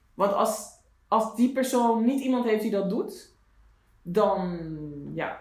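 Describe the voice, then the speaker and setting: Against audible room echo, a man talks at a very slow pace in a high pitch, his pitch varying in an ordinary way. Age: 40s. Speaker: podcast co-host. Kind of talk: casual chat.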